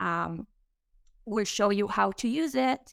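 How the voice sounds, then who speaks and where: A woman speaks at a medium pitch with an Israeli accent. The recording is very clean, with a silent background and a dry, close sound free of echo. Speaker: startup co-founder and marketing chief. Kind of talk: casual interview.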